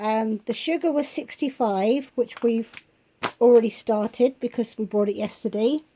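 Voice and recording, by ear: Dark, mellow tone at a fairly slow pace, with ordinary pitch variation. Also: woman, fairly high pitch for a woman.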